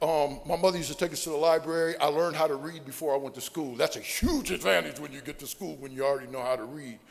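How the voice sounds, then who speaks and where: Talking at a very fast pace, a man with an American accent speaks in a fairly high voice. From Ohio (Sandusky). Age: 60s. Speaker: recovering alcoholic speaker. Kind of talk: AA speaker talk / testimony.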